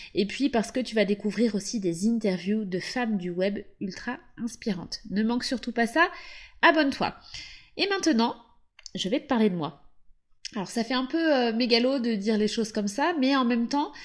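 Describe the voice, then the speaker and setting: A woman speaks at a moderate pace with fairly high pitch and lively intonation. She leaves long, frequent pauses, and the recording is very clean with a silent background. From western France, Loire-Atlantique. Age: 30s. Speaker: podcast host, SEO consultant. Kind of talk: podcast monologue. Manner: casual.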